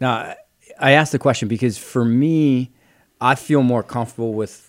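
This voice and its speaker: An unremarkable speaking voice with a Canadian accent keeps a moderate pace and fairly even intonation. The recording is very clean, with a silent background. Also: man. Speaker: podcast co-host. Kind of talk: casual chat.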